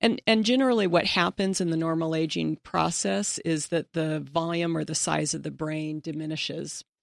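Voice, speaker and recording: Recorded very cleanly against a silent background with a dry, close sound and no echo, a woman with an ordinary speaking voice talks at a moderate pace and fairly low pitch, with lively intonation and hardly any pauses. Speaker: personal trainer and health coach. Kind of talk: interview on health and exercise.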